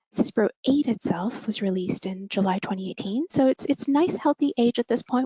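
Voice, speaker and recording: At a moderate pace, a woman speaks with a Canadian accent. Her pitch is fairly high and her voice somewhat breathy. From Canada. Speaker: software product manager. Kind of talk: webinar presentation.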